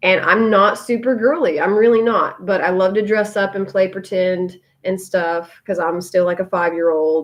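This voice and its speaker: At a moderate pace with hardly any pauses, a woman speaks at medium pitch with ordinary pitch variation. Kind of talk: live video chat. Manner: loud; varied pitch.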